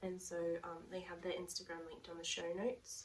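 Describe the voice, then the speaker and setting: A woman speaks quietly in a fairly low pitch with an Australian accent. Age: 30s. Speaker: knitting podcaster. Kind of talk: casual talk to camera. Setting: headphone mic at home.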